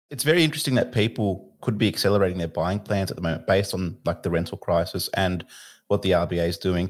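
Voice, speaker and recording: Very fast speech with an Australian accent comes through on a very clean recording with a silent background. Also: man. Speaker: podcast host, mortgage broker. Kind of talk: interview.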